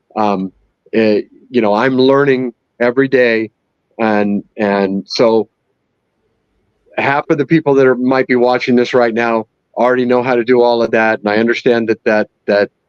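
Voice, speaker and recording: Speaking at a moderate pace, a man uses a medium pitch and fairly even intonation, with long, frequent pauses. The loudness stays very even, and the sound is dry and close with no echo. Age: 60s. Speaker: 3D printer user. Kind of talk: live stream interview. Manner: hesitant, many fillers.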